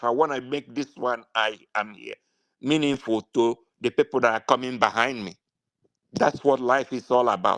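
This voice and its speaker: A man talks in a Nigerian accent. The sound is dry and close, with no echo. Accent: Nigerian Igbo English. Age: 60s. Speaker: political activist. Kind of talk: impassioned political speech. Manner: halting, many fillers; animated.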